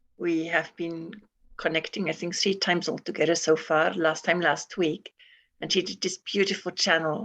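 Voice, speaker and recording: A woman talks at a moderate pace, and the sound is dry and close with no echo. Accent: non-native. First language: not English. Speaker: course participant. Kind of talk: group class discussion. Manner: halting.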